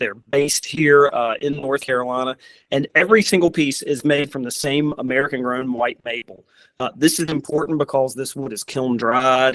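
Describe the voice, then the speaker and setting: With a Southern US accent, a man speaks at a moderate pace with a fairly high pitch and fairly even intonation, the sound dry and close with no echo. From US South. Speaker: furniture company representative. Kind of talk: presentation.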